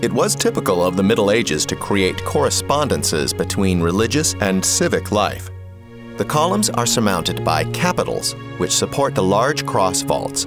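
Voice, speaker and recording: Over music in the background, a man with a fairly low voice speaks at a moderate pace, his pitch swinging very widely while his loudness stays very even. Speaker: voice actor, narrator. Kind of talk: audio guide narration.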